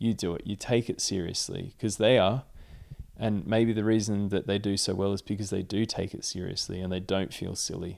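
A monotone, flat delivery with an Australian accent. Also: man, fairly quick pace. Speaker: professional climber and Olympic athlete. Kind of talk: casual interview.

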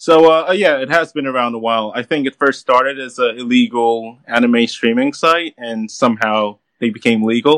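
A man with an unremarkable speaking voice, medium in pitch with ordinary pitch variation, at a moderate pace with hardly any pauses. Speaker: caller, anime fan. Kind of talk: casual chat. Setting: remote call-in to livestream.

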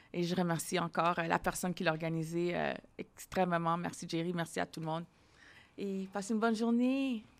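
In a very clean recording with a silent background, a woman talks at a fairly quick pace, her pitch fairly low and its variation ordinary. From Ontario, Ottawa. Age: 40s. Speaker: podcast host. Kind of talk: casual interview.

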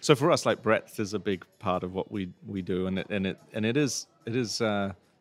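Over music in the background, a man with a very deep, low pitch speaks with fairly even intonation. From England. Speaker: podcast host, brewer. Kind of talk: casual interview chat. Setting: pub on location.

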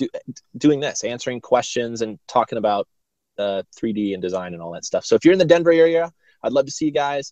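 The sound is dry and close with no echo as a man talks at medium pitch with lively intonation. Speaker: motion design educator. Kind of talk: casual chat. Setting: in a car. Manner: fast.

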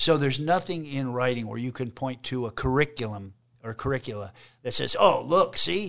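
At a moderate pace, a plain, everyday voice comes through against a quiet background. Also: man. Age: 50s. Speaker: state politician. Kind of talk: casual interview.

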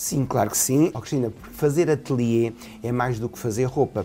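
A fairly quick delivery in a European Portuguese accent. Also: man. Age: 50s. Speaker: fashion designer. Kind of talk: interview. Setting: his atelier.

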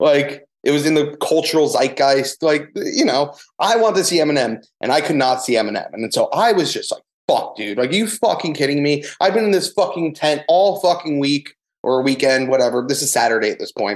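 Fairly quick and with lively intonation, an ordinary speaking voice comes through. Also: man, fairly high pitch for a man. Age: 20s. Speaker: photographer. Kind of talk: casual chat, storytelling.

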